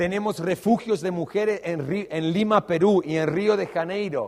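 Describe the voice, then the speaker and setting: This man has an Australian accent and a high pitch. He talks at a fairly slow pace with fairly even intonation. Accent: Australian-tinged Spanish. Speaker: pastor. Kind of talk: sermon.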